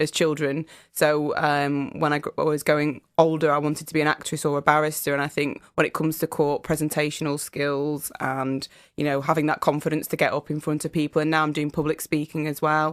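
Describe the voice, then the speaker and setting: In a northern English accent, a woman with a very deep, low pitch speaks at a fairly quick pace on a very clean recording with a silent background. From northern England, Fylde coast, Lancashire. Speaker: solicitor and public speaker. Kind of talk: radio interview. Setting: radio studio.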